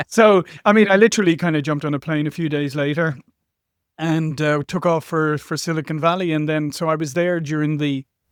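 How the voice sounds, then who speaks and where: Speaking at a moderate pace with an Irish accent, a man's fairly high voice comes through on a very clean recording with a silent background. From Ireland. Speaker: marketing executive. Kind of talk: interview. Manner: halting, with many fillers.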